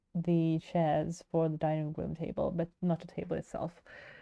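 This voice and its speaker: A woman's fairly low voice, dark and mellow in tone, with monotone, flat intonation. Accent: Swedish. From Sweden. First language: Swedish. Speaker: digital artist streamer. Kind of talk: casual chat while livestreaming. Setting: livestream.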